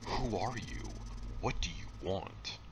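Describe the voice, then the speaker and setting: Man doing a put-on character voice against loud background noise. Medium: read story. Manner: earnest, God-fearing.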